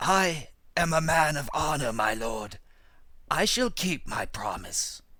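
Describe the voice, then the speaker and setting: A man's put-on character voice, raspy and fairly high in pitch, at a fairly slow pace, in a very clean recording with a silent background. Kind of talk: read fable audiobook. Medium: read story.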